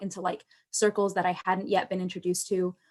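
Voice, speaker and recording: A woman speaks at a fairly quick pace in a medium pitch. She has a plain, everyday voice. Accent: American. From United States. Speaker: alumni panelist. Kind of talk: panel discussion. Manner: casual, many filler words.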